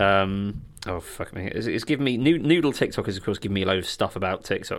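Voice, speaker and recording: A man's very fast, lively speech at a fairly low pitch, in a southern English accent. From southern England (Sussex countryside near Crawley). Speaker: podcast co-host. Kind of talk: casual chat. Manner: halting, many repeated words.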